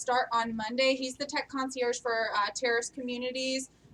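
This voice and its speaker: The voice is raised and projected, with a bright, sharp tone and fairly even intonation. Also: woman. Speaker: company staff presenting town hall announcements. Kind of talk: company town hall announcements. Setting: live-streamed meeting with audience. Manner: loud; hesitant, many filler ums.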